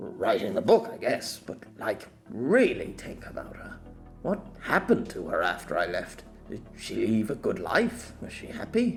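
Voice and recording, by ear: Putting on a character voice, a man speaks fairly slowly at a fairly low pitch with vocal fry and very wide pitch swings, faint music playing behind him.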